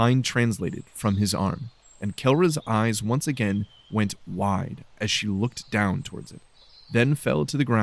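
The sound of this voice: The reading voice is unforced, and its pitch shifts in an ordinary way.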